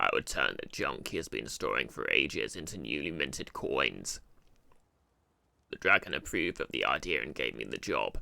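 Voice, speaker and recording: The pace is moderate. A man performs in a put-on character voice. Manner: storytelling.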